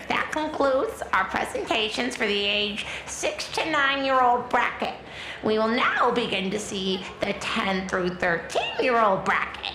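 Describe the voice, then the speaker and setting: Over clear background noise, a woman uses a put-on character voice at a fairly high pitch and a moderate pace. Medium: audio drama. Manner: officious, throat-clearing.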